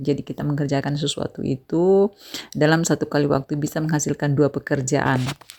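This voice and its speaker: A woman with a Makassar accent, very deep and low in pitch, fairly quick, flat and monotone, in a dry, close sound with no echo. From Bone, South Sulawesi, Indonesia. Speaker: vlogger, housewife and madrasah staff. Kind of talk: casual vlog narration.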